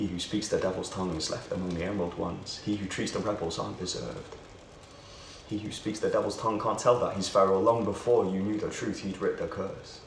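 A man with a British accent at a very fast pace, with light background noise and audible room echo. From United Kingdom. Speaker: spoken word poet. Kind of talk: spoken word poetry performance over music, rhythmic and declamatory. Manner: rhythmic, rhyme-driven delivery with internal rhymes; impassioned, sardonic and exclamatory. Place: empty room.

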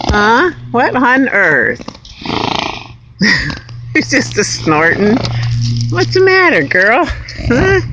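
Music plays in the background. The speech moves at a very slow pace. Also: dry sound with no echo. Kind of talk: casual talk to an animal. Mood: amused, affectionate. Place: open country. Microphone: phone near.

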